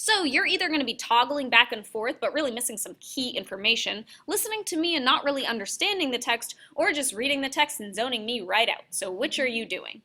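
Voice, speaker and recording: A woman's raised, projected voice runs at a fairly quick pace with hardly any pauses, high in pitch and with very wide pitch swings. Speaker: university workshop presenter. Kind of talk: workshop presentation. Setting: classroom with live audience. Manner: loud; animated.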